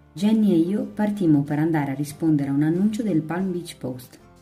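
Backed by music, a woman with a very deep, low voice speaks at a moderate pace with lively intonation. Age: 20s. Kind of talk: audiobook reading.

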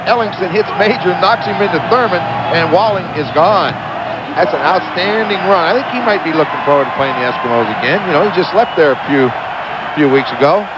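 Over noticeable background noise, a man with a high voice talks at a fairly quick pace with lively intonation. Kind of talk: live commentary. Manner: measured, explanatory analyst tone, calm and knowing.

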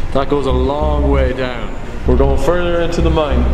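Over background music, a man speaks at a fairly slow pace. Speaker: adventure vlogger. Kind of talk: casual vlog chat. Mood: nervous, scared. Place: tunnel cave. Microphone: phone near.

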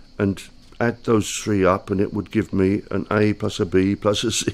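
A man's fairly low voice at a very slow pace. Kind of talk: explanatory monologue. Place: home room. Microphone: studio mic.

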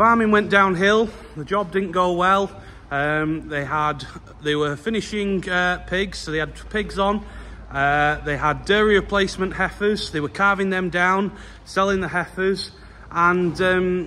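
A man speaks at a fairly slow pace in a high voice, his intonation fairly even. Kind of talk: casual vlog chat. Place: farm machine. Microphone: phone near.

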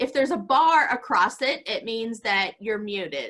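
The woman's tone is bright and sharp, her voice raised and projected. She moves at a moderate pace with lively intonation, and the background is quiet. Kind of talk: announcements before worship. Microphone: video call.

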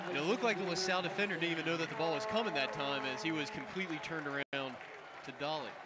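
Over crowd noise in the background, a man talks at a very fast pace in an excited tone, his pitch high with ordinary variation. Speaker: play-by-play announcer. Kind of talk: live sports play-by-play commentary. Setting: broadcasting live from a football game. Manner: fast, rapid-fire play-by-play delivery, excited at touchdowns; animated.

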